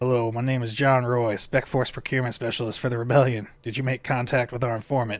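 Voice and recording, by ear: In a put-on character voice, a man sounds gruff and strained, talking very fast at medium pitch in a flat monotone with hardly any pauses.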